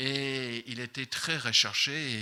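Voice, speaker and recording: A man's bright, sharp tone, fairly high in pitch. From Ireland. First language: English (speaking French). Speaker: missions representative preaching. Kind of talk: sermon. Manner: halting, many fillers.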